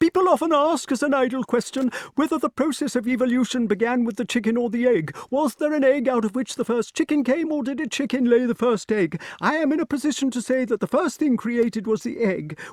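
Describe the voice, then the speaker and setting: Using a put-on character voice, a man speaks in falsetto at an extremely high pitch, with ordinary pitch variation, a fairly quick pace and hardly any pauses. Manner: reading as fast as possible.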